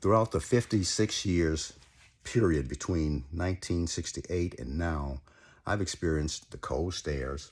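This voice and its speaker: Very deep and low in pitch, a man speaks at a fairly slow pace with an American accent and ordinary pitch variation. The recording is very clean with a silent background. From United States. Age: 60s. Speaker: podcast host. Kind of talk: personal monologue.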